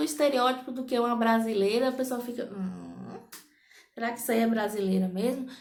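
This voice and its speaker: Audible room echo surrounds a woman speaking in an animated tone at a moderate pace. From Brazil, interior of Bahia. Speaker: vlogger. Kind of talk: casual vlog monologue.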